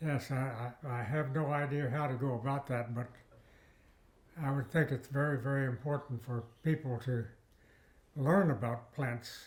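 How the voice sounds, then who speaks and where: A man talks at a moderate pace with medium pitch and fairly even intonation. His voice is somewhat breathy, with long, frequent pauses. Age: 90s. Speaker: retired botany professor. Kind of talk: interview. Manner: halting.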